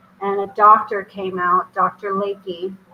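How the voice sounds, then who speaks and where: Behind a woman speaking at medium pitch there is noticeable background noise. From Germany, then US. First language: German. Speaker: spiritual medium and author. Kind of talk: interview.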